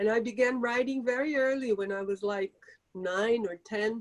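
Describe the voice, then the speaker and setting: With a Portuguese accent, a woman speaks at a moderate pace and a fairly high pitch, her intonation fairly even and the sound dry and close with no echo. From Brazil. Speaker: author. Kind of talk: interview Q&A. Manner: halting.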